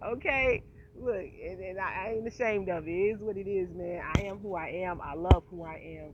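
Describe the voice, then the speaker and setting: At a moderate pace, a woman with a medium pitch speaks in an animated, passionate tone with ordinary pitch variation over noticeable background noise. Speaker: vlogger. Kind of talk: casual monologue vlog.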